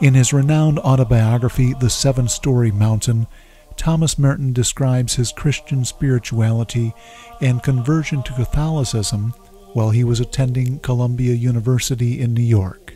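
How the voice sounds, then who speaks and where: A man speaks at a moderate pace with fairly even intonation, his sound dry with no echo and faint music in the background. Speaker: documentary narrator, blog host. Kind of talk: documentary narration.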